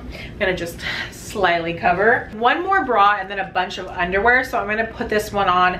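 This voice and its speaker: A woman with an American accent talks at a moderate pace with ordinary pitch variation over light background noise. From San Francisco Bay Area. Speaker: YouTuber. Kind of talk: try-on haul review. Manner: casual, filler-heavy. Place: home room. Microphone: camera far.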